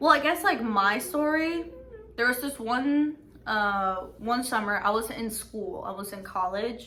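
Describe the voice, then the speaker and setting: A woman at a fairly slow pace, bright and sharp in tone, with lively intonation, big swings in loudness and audible room echo. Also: fairly high pitch for a woman. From Mexico. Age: 20s. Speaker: YouTuber. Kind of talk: casual chat. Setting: background noise.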